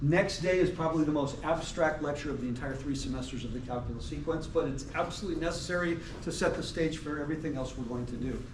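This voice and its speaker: A man speaks at a very fast pace with a fairly high pitch and ordinary pitch variation, with noticeable background noise and audible room echo. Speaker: math professor. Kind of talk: lecture. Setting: classroom. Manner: clear enunciation.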